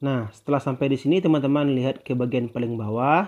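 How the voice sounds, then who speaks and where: This man has a plain, everyday voice at a medium pitch. He talks at a fairly quick pace. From Indonesia, West Sumatra. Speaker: YouTuber. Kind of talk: tutorial.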